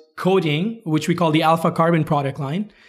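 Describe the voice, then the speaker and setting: Music plays in the background as someone speaks at a moderate pace with fairly even intonation. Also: man. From India and Kuwait. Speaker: startup CEO, engineer. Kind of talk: interview. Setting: at a tech conference.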